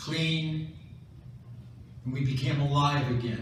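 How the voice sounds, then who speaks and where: A man with an American accent at a very slow pace and fairly high pitch, with fairly even intonation, noticeable background noise and audible room echo. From US Midwest, Chicago. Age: 90s. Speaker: war veteran. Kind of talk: speech to an audience, war memoir. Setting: stage with audience at a school military ball.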